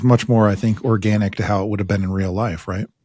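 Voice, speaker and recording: A man's plain, everyday voice, fairly low in pitch, with fairly even intonation. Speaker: podcast host. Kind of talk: interview questions.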